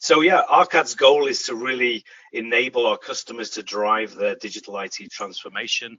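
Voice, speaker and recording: Over noticeable background noise, a man with a British accent speaks at a moderate pace, his loudness swinging widely. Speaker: software company director, presenter. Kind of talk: webinar presentation. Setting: webcast with screen sharing.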